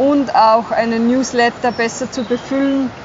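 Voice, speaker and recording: Against noticeable background noise, a woman speaks at a fairly high pitch with fairly even intonation. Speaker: health educator. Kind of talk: casual chat. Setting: outdoors by a river.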